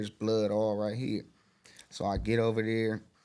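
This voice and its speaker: On a very clean recording with a silent background, a man with an American accent speaks at a moderate pace in a fairly low pitch. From South Los Angeles. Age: 20s. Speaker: rapper. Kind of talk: interview storytelling.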